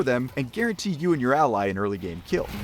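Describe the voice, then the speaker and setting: Speaking at a very fast pace with an American accent, a man uses vocal fry and very wide pitch swings. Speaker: gaming YouTuber. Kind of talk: game guide commentary. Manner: sarcastic, jokey.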